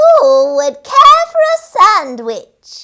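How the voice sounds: Cackling in a put-on character voice, a woman speaks very slowly at an extremely high pitch, with a bright, sharp tone and very wide pitch swings.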